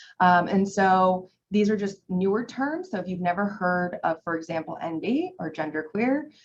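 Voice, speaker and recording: Somewhat breathy, a woman speaks at a medium pitch and a moderate pace with ordinary pitch variation and hardly any pauses. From Iran. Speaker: presenter on mental health. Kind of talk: educational presentation. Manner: casual, with many fillers.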